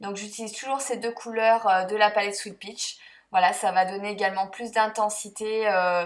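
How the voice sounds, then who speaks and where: A woman at a medium pitch and moderate pace, flat and monotone in intonation, with big swings in loudness. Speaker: beauty vlogger. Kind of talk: makeup tutorial voice-over. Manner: hesitant, many fillers.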